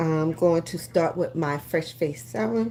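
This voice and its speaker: Through noticeable background noise, a woman talks at a moderate pace in a very deep, low voice. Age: 60s. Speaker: beauty influencer, lash and brow business owner. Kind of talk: live-stream beauty tutorial. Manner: casual, with frequent fillers.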